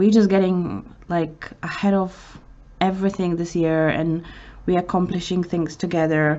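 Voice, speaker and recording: A woman's fairly low voice, fairly slow and fairly even in intonation. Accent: Polish. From Poland. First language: Polish. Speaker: vlogger. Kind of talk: emotional personal story. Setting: outdoors in city center. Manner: halting.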